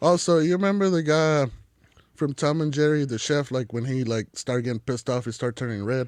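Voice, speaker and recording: Talking at a fairly quick pace, a man has a slight Mexican accent. His pitch is fairly high, with ordinary variation. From Mexico. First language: Spanish. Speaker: chef. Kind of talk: casual chat. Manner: casual, filler-heavy.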